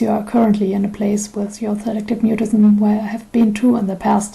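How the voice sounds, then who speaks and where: A woman with a German accent speaks at a fairly high pitch. Her intonation is monotone and flat, with audible room echo. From Germany. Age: 20s. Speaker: YouTuber with selective mutism. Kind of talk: personal testimony.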